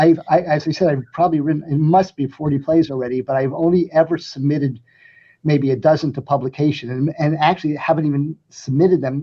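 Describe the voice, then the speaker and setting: Talking at a very fast pace, a man uses a fairly high pitch. His American accent comes with fairly even intonation. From New Jersey (Elizabeth, urban). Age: 70s. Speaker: playwright. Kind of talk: interview. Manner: halting, many fillers.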